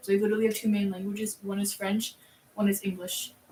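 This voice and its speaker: Against noticeable background noise, a woman with an American accent speaks at a medium pitch and moderate pace in a monotone, flat intonation. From Minnesota. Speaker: streamer's daughter. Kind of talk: casual chat. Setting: live stream.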